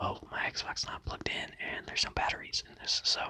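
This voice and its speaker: Someone whispers at a moderate pace in a relaxed tone. Noticeable background noise sits behind the voice. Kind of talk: ASMR talk to camera about controllers. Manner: whispered, relaxed.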